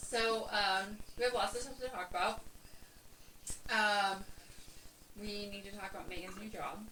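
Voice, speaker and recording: A woman speaks at a moderate pace and a medium pitch, flat and monotone. She pauses long and often, and room echo is audible. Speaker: podcast co-host. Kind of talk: casual chat. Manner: loud.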